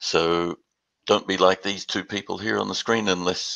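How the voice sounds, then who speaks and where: With an Australian accent, a man talks at a moderate pace in a very deep, low pitch and a bright, sharp tone, the sound dry and close with no echo and the background quiet. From Western Australia. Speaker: business development executive. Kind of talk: webinar presentation. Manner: halting, many repeated words.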